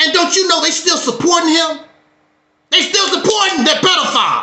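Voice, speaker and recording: A man's extremely high-pitched voice at a fairly quick pace, with ordinary pitch variation, very even loudness and audible room echo. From Mississippi, US South. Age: 60s. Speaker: YouTube talk show host. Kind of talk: heated talk on a livestream. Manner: animated.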